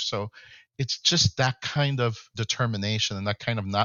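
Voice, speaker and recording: An ordinary speaking voice from a man, fairly low-pitched, at a fairly quick pace with ordinary pitch variation. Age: 60s. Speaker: tech company founder and CEO. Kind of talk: podcast interview.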